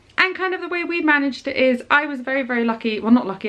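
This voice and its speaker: Over noticeable background noise, a woman talks very fast at a high pitch. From Scotland, grew up abroad. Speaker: parenting vlogger. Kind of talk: casual vlog talk to camera. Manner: chatty, many fillers.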